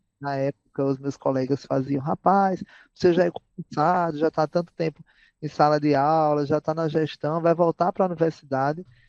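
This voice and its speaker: Against a quiet background, a man speaks at a moderate pace with a fairly high pitch and fairly even intonation. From Brazil, Paraíba (Campina Grande). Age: 30s. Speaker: educator and psychologist. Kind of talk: podcast interview. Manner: frequent fillers and hesitations.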